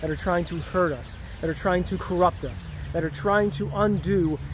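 A man speaks at a moderate pace with a dry sound and no echo, while light background noise hums underneath. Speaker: vlogger. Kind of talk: casual vlog chat. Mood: earnest, preachy. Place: street. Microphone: phone near.

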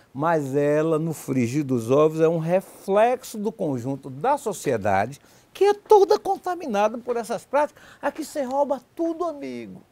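In a Bahian accent, a man speaks fairly slowly with a high pitch, very wide pitch swings and a dark, mellow tone. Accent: Bahian Brazilian Portuguese. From Bahia, Brazil (Valença); Bahia, Brazil. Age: 60s. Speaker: political journalist. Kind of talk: TV debate. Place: studio. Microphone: lapel.

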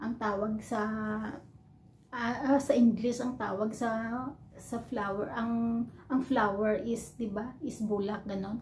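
Amid light background noise, a woman in a normal speaking voice talks at a fairly slow pace and fairly high pitch, with fairly even intonation. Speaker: overseas Filipino worker vlogger. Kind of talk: casual vlog, teaching words to camera. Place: home room. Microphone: phone near.

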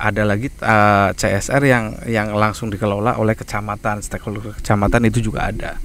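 A man's flat, monotone delivery at a fairly quick pace, with a dry sound free of echo and light background noise. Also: fairly low pitch for a man, hardly any pauses. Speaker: CSR community development staff; guest. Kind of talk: casual outdoor podcast interview. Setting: outdoors at demonstration farm. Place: garden. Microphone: handheld.

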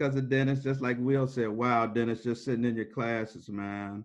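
A man's intonation stays fairly even, with a quiet background behind him. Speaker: panelist, former student. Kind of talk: casual panel discussion. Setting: video call. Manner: casual. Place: home room. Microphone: video call.

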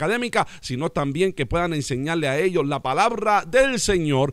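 Over a quiet background, a man speaks at a moderate pace with lively intonation, the sound dry with no echo. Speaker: pastor. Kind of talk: prayer and radio announcements. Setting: radio program. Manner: formal. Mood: warm, smiling. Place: studio. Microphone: studio mic.

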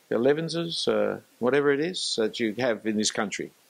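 With an Australian accent, a man speaks at a fairly high pitch and a moderate pace, using lively intonation and vocal fry. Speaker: preacher. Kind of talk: lecture. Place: church. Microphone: handheld.

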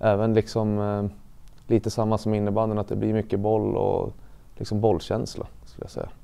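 Using a monotone, flat intonation, a man talks at a moderate pace with a fairly low pitch and a dark, mellow tone. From Sweden, Gävleborg (Sätra, Gävle); Sweden. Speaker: elite ice hockey player; interviewee. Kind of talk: interview testimony. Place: studio. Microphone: lapel.

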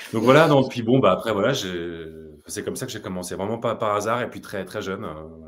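Speaking fairly quickly in a normal speaking voice, a man with a fairly low pitch uses lively intonation and big swings in loudness. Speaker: voice actor. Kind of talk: casual chat. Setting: video call.

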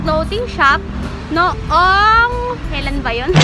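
Over clear music in the background, a woman speaks in a raised, projected voice. The sound is dry, with no echo. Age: 20s. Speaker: vlogger and student business owner; vlogger. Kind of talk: casual vlog talk. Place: garden. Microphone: phone near.

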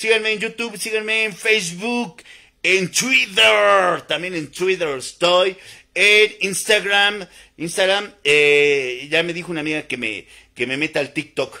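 A man's high-pitched voice, bright and sharp in tone, with lively intonation, a fairly slow pace and a quiet background. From Mexico, Puebla. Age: 50s. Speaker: naturopathic doctor; naturopathic health vlogger. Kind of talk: live stream monologue. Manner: repetitive, informal. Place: home room. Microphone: phone near.

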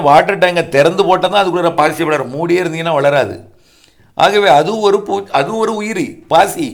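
A man speaks with a high voice. The rise and fall of his pitch is ordinary. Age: 50s. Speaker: weather forecaster. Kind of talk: monologue talk to viewers.

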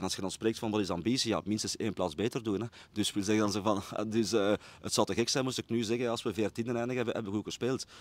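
In a Brabant Flemish accent, a man talks at a very fast pace with fairly low pitch and fairly even intonation, the sound dry with no echo. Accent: Flemish (Brabant) Dutch. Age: 40s. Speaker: football coach. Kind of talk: interview. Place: stadium. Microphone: handheld.

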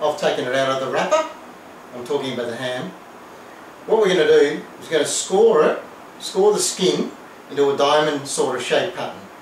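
A man with an Australian accent speaks at a moderate pace in a fairly high pitch, with ordinary pitch variation, big swings in loudness, long and frequent pauses, audible room echo and light background noise. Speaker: home cooking video host. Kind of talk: cooking tutorial. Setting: home kitchen. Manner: casual, hesitant with fillers. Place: kitchen. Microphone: camera far.

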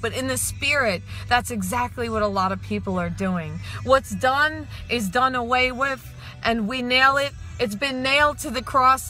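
A woman's voice, dry with no echo, with faint music in the background. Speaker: speaker. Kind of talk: sermon. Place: car. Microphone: phone near.

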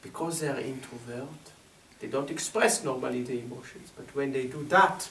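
A man's speech moves at a moderate pace, with light background noise behind it. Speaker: workshop facilitator. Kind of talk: group talk explaining an exercise. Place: home room. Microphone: camera far.

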